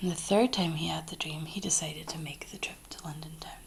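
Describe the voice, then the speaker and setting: The voice is soft-spoken, in a Scottish accent. It moves at a moderate pace. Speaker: ASMR creator. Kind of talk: bedtime story reading.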